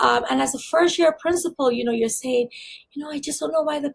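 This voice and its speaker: A woman with a slight Barbadian accent speaks at a high pitch. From Barbados. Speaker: school district leader. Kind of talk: interview.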